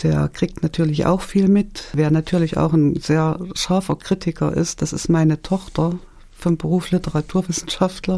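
A woman's fairly low, dark and mellow voice, monotone and flat in intonation, at a moderate pace. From Thuringia, Germany. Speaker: author. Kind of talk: radio interview. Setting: studio.

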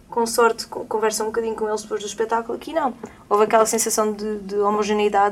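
Over noticeable background noise, a woman with a fairly high pitch talks at a very fast pace in a monotone, flat intonation. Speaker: singer. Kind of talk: casual chat. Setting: studio.

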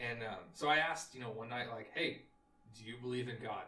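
Through noticeable background noise, a man speaks fairly quickly at medium pitch with fairly even intonation. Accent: American. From Texas, near Austin. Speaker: engineer recounting a service trip. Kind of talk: casual chat.

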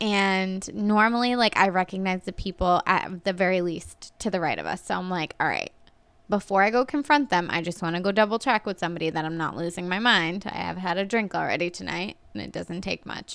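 On a very clean recording with a silent background, a woman with a plain, everyday voice of medium pitch talks fairly quickly with ordinary pitch variation. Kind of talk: casual chat.

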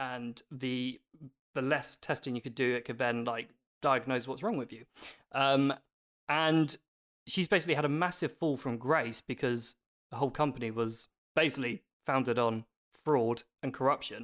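With a British accent, a man of medium pitch speaks at a moderate pace with ordinary pitch variation and long, frequent pauses, in a dry, close sound with no echo on a very clean recording with a silent background. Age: 30s. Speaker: podcast co-host and celebrity interviewer. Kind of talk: casual chat.

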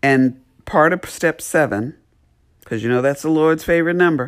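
A woman talks at a fairly slow pace with ordinary pitch variation. The recording is very clean, with a silent background. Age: 50s. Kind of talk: inspirational talk.

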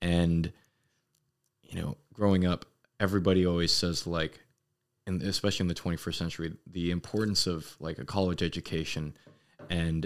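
A man with an American accent speaks in a very deep, low pitch at a moderate pace, his intonation fairly even. The recording is very clean with a silent background. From US West Coast, Los Angeles. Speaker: Marine sergeant. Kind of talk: casual chat. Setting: in a room drinking whiskey.

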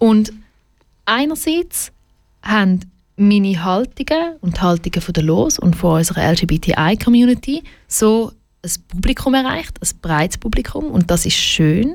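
Speaking with a Swiss accent, a woman at medium pitch moves at a fairly slow pace with very wide pitch swings. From Switzerland, Schaffhausen. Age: 20s. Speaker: LGBTQ advocacy director. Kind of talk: radio interview. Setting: studio.

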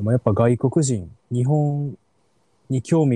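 Recorded very cleanly with a silent background and a dry, close sound with no echo, a man with an Osaka accent speaks at a medium pitch in a dark, mellow, somewhat breathy tone. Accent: Osaka Kansai dialect. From Osaka city, Japan. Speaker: podcast host. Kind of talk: casual chat.

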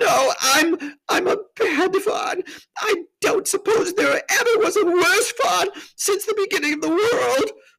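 The speaker uses a put-on character voice with a fairly bright tone and vocal fry. Intonation is lively and the pace fairly slow.

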